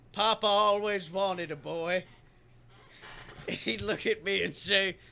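Using a put-on character voice, a man talks in a raspy, high pitch at a fairly slow pace. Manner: gruff, commanding.

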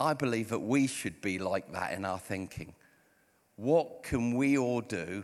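Speaking at a fairly slow pace, a man uses a medium pitch and an English accent. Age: 50s. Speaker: pastor. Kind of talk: sermon. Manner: animated.

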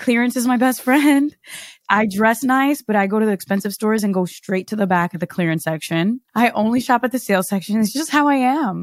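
In a very clean recording with a silent background, a woman with a fairly high pitch and lively intonation has a plain, everyday voice. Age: 30s. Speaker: podcast host and entrepreneur. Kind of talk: casual chat.

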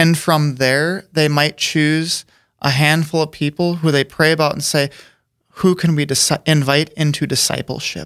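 Moderately paced speech in an American accent with monotone, flat intonation, on a very clean recording with a silent background and a dry, close sound with no echo. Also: man, fairly high pitch for a man. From US Midwest, South Dakota. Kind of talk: interview. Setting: studio.

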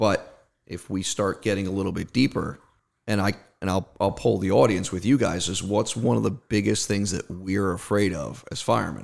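This man, with a slight New Jersey accent, talks at a fairly low pitch with vocal fry and ordinary pitch variation on a very clean recording with a silent background. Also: moderate pace. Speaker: marketing expert, volunteer firefighter and ex-Marine. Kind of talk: casual conversational interview.

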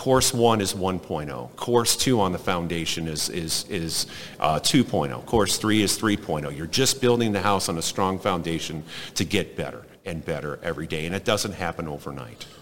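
With vocal fry and lively intonation, a man speaks in a very deep, low voice at a moderate pace. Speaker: business consultant. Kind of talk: casual interview. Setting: conference floor.

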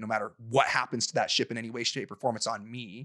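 On a very clean recording with a silent background, a man with an American accent talks very fast in a bright, sharp tone. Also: dry, close sound with no echo. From Utah. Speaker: professional fighter. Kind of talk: casual chat. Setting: studio.

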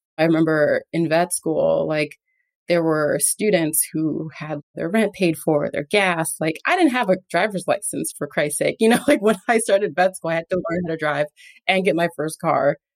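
In an American accent, the speaker talks at a moderate pace with ordinary pitch variation. It is an ordinary speaking voice, with a dry, close sound and no echo. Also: woman, fairly low pitch for a woman. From New York City, the Bronx. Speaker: veterinary oncologist. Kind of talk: interview conversation. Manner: casual, filler-heavy.

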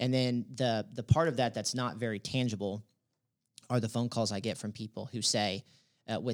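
Recorded very cleanly against a silent background, a man with an American accent has an unremarkable speaking voice, medium pitch and fairly even intonation. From Texas, Dallas. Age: 20s. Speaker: real estate regional director. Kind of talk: interview. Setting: office studio.

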